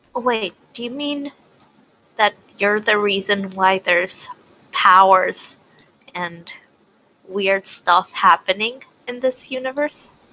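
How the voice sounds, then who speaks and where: A woman at a medium pitch talks at a very slow pace with long, frequent pauses, her loudness swinging widely and her pitch varying in an ordinary way over background music. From Puerto Rico. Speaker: tabletop game player. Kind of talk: tabletop role-play session.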